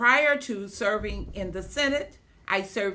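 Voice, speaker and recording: A woman speaks with vocal fry. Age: 70s. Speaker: state senator and former school principal. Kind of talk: testimony. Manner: hesitant with frequent fillers.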